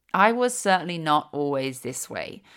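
Fairly low pitch for a woman, lively intonation and a moderate pace, on a very clean recording with a silent background. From East London, England. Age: 30s. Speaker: podcast host, yoga teacher and empowerment guide. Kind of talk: solo podcast monologue, personal storytelling.

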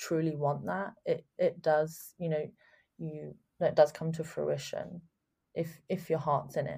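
Somewhat breathy with a dark, mellow tone, a woman with a London accent speaks at a fairly slow pace. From England, London. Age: 20s. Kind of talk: interview. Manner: hesitant, many fillers.

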